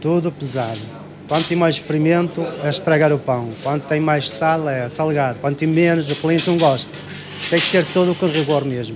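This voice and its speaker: A man with a fairly high pitch speaks at a moderate pace with fairly even intonation, against noticeable background noise and audible room echo. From Morocco (Ouarzazate). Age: 40s. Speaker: baker. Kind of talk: interview.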